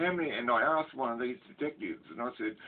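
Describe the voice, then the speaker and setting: A man talks with an Australian accent. He keeps a fairly quick pace. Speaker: ex-prisoner storyteller. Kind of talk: casual storytelling monologue. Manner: halting, many fillers.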